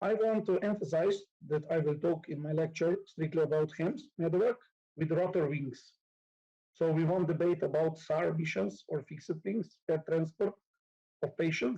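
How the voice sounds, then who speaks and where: A man speaks with a Slovenian accent, his pitch fairly high and his pitch variation ordinary. His loudness stays very even at a moderate pace. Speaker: nurse and conference lecturer. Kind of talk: conference lecture. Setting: conference hall with live audience. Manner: halting, many fillers.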